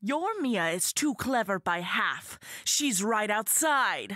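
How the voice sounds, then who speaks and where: A female-sounding voice growls through a put-on character voice at a fairly high pitch and a fairly slow pace. The recording is very clean, with a silent background. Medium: audio drama. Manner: exultant.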